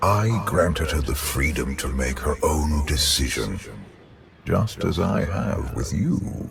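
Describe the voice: A man's put-on character voice, extremely low with vocal fry and lively intonation, at a slow pace over faint background noise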